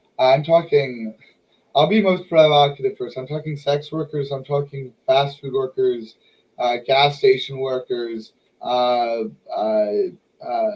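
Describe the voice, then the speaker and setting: Very slowly, a man speaks at a fairly high pitch with ordinary pitch variation. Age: 20s. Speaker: podcast host. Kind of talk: casual chat. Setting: live stream.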